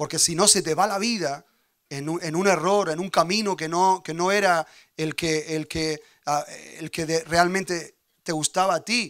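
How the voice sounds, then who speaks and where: A man with a high pitch speaks in an animated tone at a fairly slow pace. The background is quiet. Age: 40s. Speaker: pastor. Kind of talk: sermon. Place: church. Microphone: handheld.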